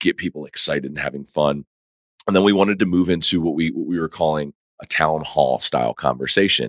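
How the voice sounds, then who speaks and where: Very deep and low, a man's voice moves at a fairly quick pace with vocal fry. The sound is dry and close, with no echo. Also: ordinary pitch variation. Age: 30s. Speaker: entrepreneur and podcast host. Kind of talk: casual interview. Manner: halting, many fillers.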